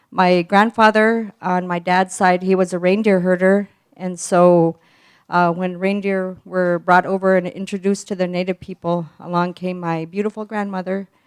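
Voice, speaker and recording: The sound is dry and close, with no echo. A woman at medium pitch talks at a moderate pace in a monotone, flat intonation. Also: very clean recording, silent background. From Alaska, Golovin village. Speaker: community presenter. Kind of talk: presentation with slides.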